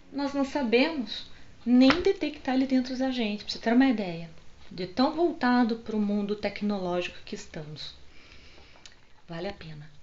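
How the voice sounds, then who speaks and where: The speaker's pitch swings very widely and loudness rises and falls sharply, at a moderate pace broken by long, frequent pauses. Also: woman, high pitch for a woman. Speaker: holistic psychotherapist. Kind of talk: casual vlog book recommendations. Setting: home video recorded on phone. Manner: animated. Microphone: phone mic.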